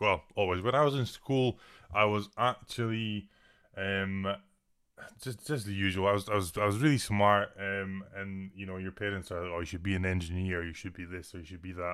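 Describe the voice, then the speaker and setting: Speaking in a Scottish Highland accent, a man uses a fairly low pitch. His loudness swings widely. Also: ordinary pitch variation, moderate pace. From Scotland, Inverness. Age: 20s. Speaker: personal trainer and online fitness coach. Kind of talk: casual chat. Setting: video call.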